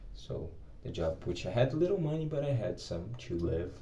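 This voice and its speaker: A man with a Brazilian accent talks at a moderate pace in a dark, mellow, somewhat breathy tone, with audible room echo. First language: Portuguese. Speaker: English teacher. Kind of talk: personal vlog. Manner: halting.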